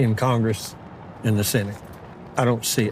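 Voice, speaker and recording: There is noticeable background noise as a man speaks with a Texan accent. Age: 70s. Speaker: rancher. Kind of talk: interview.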